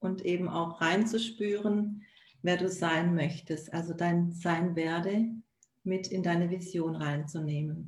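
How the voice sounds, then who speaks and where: A somewhat breathy woman's voice, fairly low in pitch, very slow, with fairly even intonation. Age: 40s. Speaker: virtual assistant and life coach. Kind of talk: casual live-stream conversation. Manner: halting, many fillers.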